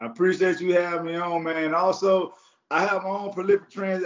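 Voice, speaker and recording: Animated and high-pitched, a man with a Florida accent talks at a fairly quick pace. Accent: Southern US, Florida. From Jacksonville, Florida. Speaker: former college and pro football defensive back, media personality. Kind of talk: casual interview chat; pep talk. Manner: animated, repetitive, hype-driven.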